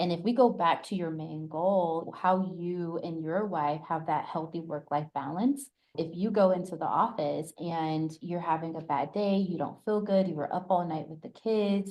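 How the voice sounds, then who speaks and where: With an American accent, an unremarkable speaking voice keeps a moderate pace and ordinary pitch variation. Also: woman, fairly low pitch for a woman, hardly any pauses. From US South, Atlanta. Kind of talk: interview conversation.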